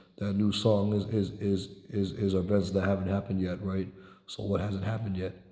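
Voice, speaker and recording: In a room with audible echo, a man talks in a dark, mellow tone with monotone, flat intonation. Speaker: religious teacher. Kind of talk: religious discussion. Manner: halting, many repetitions.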